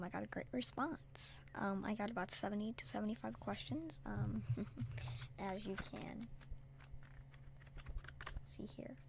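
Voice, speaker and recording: A soft-spoken man at a fairly slow pace, with long, frequent pauses and very wide pitch swings. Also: medium pitch for a man. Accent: American. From United States. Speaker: ASMR artist. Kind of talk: soft-spoken Q&A ramble to camera.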